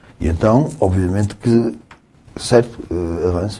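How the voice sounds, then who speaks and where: Here a man speaks with a very deep, low pitch. His intonation is lively. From northern Portugal, Guimarães. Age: 60s. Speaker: lawyer. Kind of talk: casual chat.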